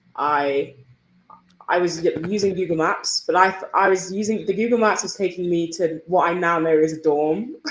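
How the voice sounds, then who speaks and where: Her intonation fairly even, a woman talks in a fairly low pitch. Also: moderate pace. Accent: English. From northern England (Yorkshire, Manchester). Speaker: college tennis player. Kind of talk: podcast interview.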